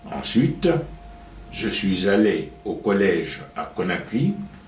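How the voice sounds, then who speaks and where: Through audible room echo and noticeable background noise, a man speaks at a very slow pace. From Guinea. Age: 70s. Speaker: retired professor. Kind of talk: interview.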